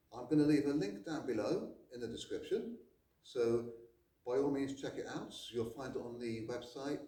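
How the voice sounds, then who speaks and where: Audible room echo surrounds a voice at a moderate pace with ordinary pitch variation. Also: man, medium pitch for a man. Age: 60s. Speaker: karate instructor. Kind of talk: product recommendation.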